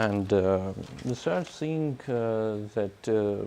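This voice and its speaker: Pitched fairly low, a man speaks at a very slow pace. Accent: Russian. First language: Russian. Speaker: scientist. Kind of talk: conference talk. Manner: halting, many fillers.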